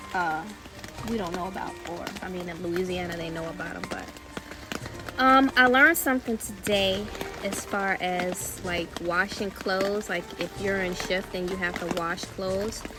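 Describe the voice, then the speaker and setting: A woman talks at a medium pitch. Noticeable background noise runs underneath. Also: ordinary pitch variation, moderate pace. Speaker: survival vlogger. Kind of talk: casual vlog. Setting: outdoors.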